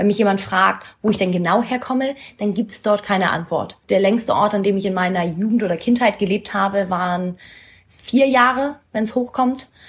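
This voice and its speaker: A woman talks at a moderate pace and a medium pitch. Her voice is somewhat breathy, with ordinary pitch variation. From northern Germany, Schleswig-Holstein. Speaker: interviewee. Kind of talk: casual interview.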